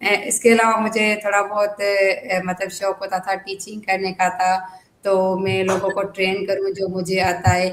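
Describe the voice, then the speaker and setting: A woman with a Sindhi accent speaks at a medium pitch in a monotone, flat intonation, with hardly any pauses. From Pakistan, Hyderabad, Sindh. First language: Sindhi (speaking Hindi). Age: 20s. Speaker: trainee teacher, housewife. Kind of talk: interview. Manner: hesitant, many fillers.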